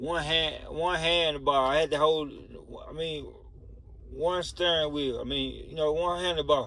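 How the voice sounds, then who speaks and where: There is audible room echo around a man speaking at a fairly slow pace. His pitch is fairly high, and his intonation stays monotone and flat. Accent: Southern US. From US South, rural Mississippi. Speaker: storytelling video creator. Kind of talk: personal storytime monologue. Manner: casual, conversational.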